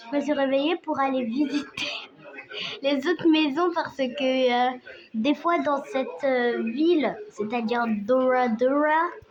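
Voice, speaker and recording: Over noticeable background noise, a woman speaks very slowly at a high pitch. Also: ordinary pitch variation. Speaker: vlogger. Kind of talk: casual vlog chat. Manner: halting.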